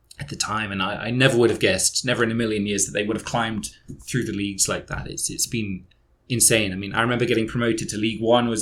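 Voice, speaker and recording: Speaking at a very fast pace, a man with a southern English accent talks at a fairly low pitch. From southern England, Dorset. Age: 30s. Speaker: football fan guest. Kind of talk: casual podcast chat.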